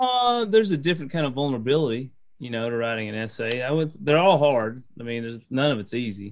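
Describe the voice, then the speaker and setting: At a very fast pace, a man with a medium pitch and ordinary pitch variation talks amid audible room echo. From eastern Kentucky (Corbin). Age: 40s. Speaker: professor and author. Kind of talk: interview conversation.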